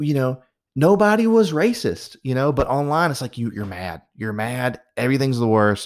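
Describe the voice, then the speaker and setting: An ordinary speaking voice, this man has a fairly high pitch and a moderate pace, captured on a very clean recording with a silent background. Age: 30s. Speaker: podcast host. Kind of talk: casual monologue.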